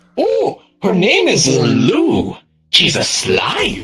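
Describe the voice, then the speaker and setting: Very slow pacing in a put-on character voice. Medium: game stream. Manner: flowery, eccentric word choice.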